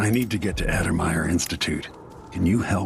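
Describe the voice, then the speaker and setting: A man uses a put-on character voice with a very deep, low pitch and ordinary pitch variation. He moves at a fairly quick pace over clear background noise. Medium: machinima. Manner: terse, grave.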